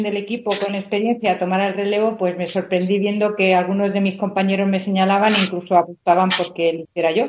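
Here a woman has a plain, everyday voice at a medium pitch. She speaks at a fairly quick pace. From Madrid, Spain. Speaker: university rector. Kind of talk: radio interview.

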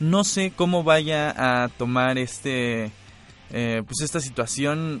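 Music plays behind the speaker. Pitch varies in an ordinary way. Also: man. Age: 20s. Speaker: university radio host. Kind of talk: casual radio chat. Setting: radio studio. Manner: animated.

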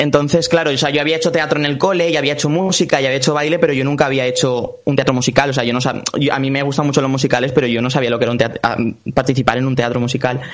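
A man speaks very fast at a fairly high pitch with fairly even intonation. Noticeable background noise runs underneath. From Valencia region, Spain (Puerto de Sagunto). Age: 20s. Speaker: singer and actor. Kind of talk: interview.

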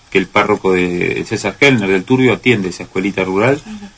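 With a fairly low pitch and ordinary pitch variation, a man talks at a fairly quick pace over noticeable background noise. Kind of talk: casual chat. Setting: radio studio.

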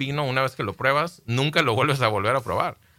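This man has a medium-pitched voice with a bright, sharp tone. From Baja California, Mexico. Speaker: winemaker. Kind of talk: radio interview. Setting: radio studio.

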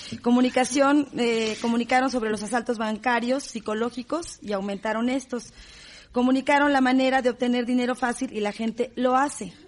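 A woman speaks at a high pitch and fairly quick pace, her intonation fairly even. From Mexico. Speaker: radio host and moderator. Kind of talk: panel moderation.

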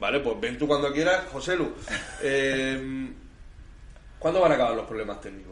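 With audible room echo and noticeable background noise, a man speaks at a fairly high pitch and a moderate pace, with lively intonation and long, frequent pauses. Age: 30s. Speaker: community radio host. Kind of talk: casual chat.

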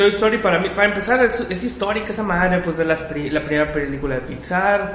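A man speaks in a Mexican accent at a high pitch and a fairly quick pace. Noticeable background noise is present. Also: ordinary pitch variation, hardly any pauses. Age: 30s. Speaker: podcast host. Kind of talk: casual chat.

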